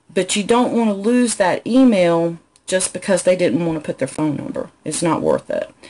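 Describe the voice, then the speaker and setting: With a Southern accent, a woman speaks using very wide pitch swings. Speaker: business coach. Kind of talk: live stream Q&A tutorial. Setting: live video stream from home. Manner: conversational, frequent fillers.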